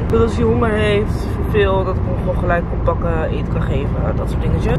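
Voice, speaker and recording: Loud background noise sits under fairly quick speech with a dry sound and no echo. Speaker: vlogger. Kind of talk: casual vlog chat.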